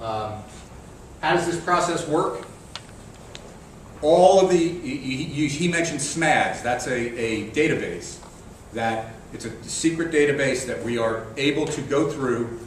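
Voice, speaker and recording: Amid noticeable background noise and audible room echo, a man with a fairly high pitch talks at a fairly slow pace, with ordinary pitch variation and long, frequent pauses. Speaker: Army critical infrastructure risk manager. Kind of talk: conference presentation.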